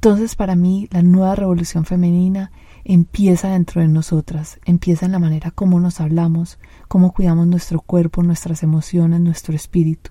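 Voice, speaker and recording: A woman speaks at a moderate pace with a fairly low pitch and a dark, mellow tone. Her voice is somewhat breathy, and her intonation is monotone and flat. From Colombia, Medellín. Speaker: podcast host and life coach. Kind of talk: solo podcast monologue.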